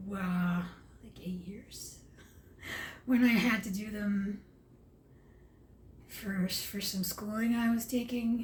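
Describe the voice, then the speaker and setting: A woman at medium pitch, somewhat breathy, with fairly even intonation at a very slow pace amid audible room echo. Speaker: vlogger. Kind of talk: casual vlog monologue. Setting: at home, late at night. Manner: halting, with stumbles and fillers.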